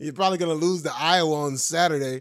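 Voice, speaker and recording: In a very clean recording with a silent background, a man speaks loudly in an animated tone with ordinary pitch variation. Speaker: stand-up comedian and podcast host. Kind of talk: casual chat.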